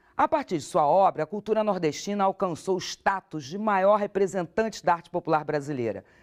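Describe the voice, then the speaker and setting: The speaker's intonation is lively and the pace fairly quick with hardly any pauses, in a dry, close sound with no echo against a quiet background. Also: man, high pitch for a man. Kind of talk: TV program narration.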